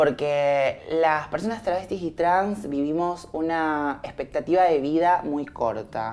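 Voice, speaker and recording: A woman talks in a very deep, low pitch with ordinary pitch variation. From Argentina, Viedma (Río Negro, Patagonia). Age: 20s. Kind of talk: documentary interview testimony.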